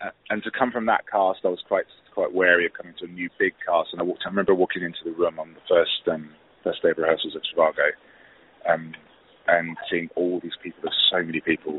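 Speaking very fast, a man talks with a southern English accent. His loudness swings widely. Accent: British English, southern English. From southeast England, Hastings. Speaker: musical theatre actor. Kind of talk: interview. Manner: halting, many fillers and restarts.

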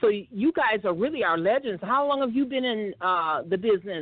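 At a fairly quick pace, a woman with an unremarkable speaking voice speaks at a medium pitch, her loudness very even and her intonation lively. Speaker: internet radio host. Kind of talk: casual chat.

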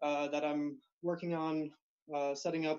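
A man with a plain, everyday voice speaks at a fairly high pitch and a fairly slow pace. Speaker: nonprofit founder. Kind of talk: casual chat. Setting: video call.

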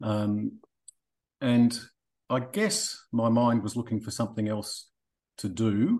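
Man with an Australian accent, medium pitch, fairly even intonation, a very slow pace and long, frequent pauses. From Australia (Melbourne). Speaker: boating app managing director, former geologist. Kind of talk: interview. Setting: remote call from Australia in the evening.

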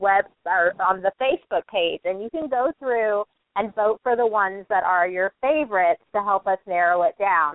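A woman speaks at a medium pitch in an animated tone. Her pace is moderate and her pitch varies in an ordinary way. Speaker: podcast co-host. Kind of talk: casual chat. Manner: animated, effusive.

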